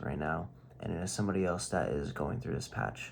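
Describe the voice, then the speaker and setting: This man speaks softly in a very deep, low voice with vocal fry and lively intonation. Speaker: video diarist. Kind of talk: casual vlog monologue. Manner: soft-spoken; halting.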